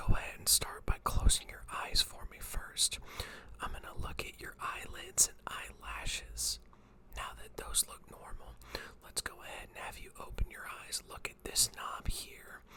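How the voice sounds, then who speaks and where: A man whispers in a calm tone at a fairly slow pace. His loudness swings widely, with noticeable background noise behind him. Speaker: eye doctor (optometrist) doing a roleplay exam. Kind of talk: ASMR roleplay, eye exam. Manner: soft-spoken, calm, close-up whispering.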